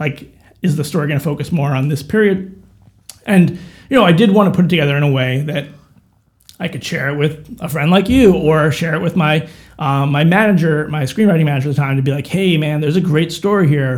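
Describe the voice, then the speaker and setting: A man with an American accent and an unremarkable speaking voice talks at a fairly quick pace, fairly high in pitch, with ordinary pitch variation. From New York suburbs (Chappaqua). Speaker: author and filmmaker. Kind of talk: casual interview chat. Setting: studio.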